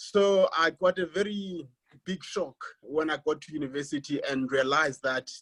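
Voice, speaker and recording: A fairly high-pitched man with a South African accent and ordinary pitch variation. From South Africa, Xhosa-speaking village. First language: isiXhosa. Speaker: academic. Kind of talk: panel presentation. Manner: halting, many repetitions.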